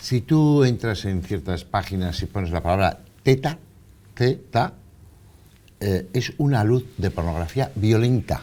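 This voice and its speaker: A man's fairly low, dark and mellow voice with lively intonation, a fairly slow pace and long, frequent pauses. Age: 60s. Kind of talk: TV interview.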